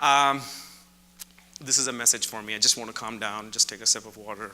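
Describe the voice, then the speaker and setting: A man with a medium-pitched voice talks at a fairly quick pace, his loudness swinging widely. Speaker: professor. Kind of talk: keynote talk. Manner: fast when excited.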